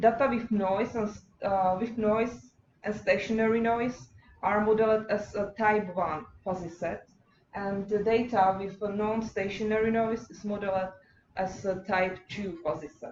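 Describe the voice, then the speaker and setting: A woman with a Czech accent at medium pitch, fairly even intonation and big swings in loudness. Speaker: PhD student. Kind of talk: lecture. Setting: workshop seminar. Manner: halting.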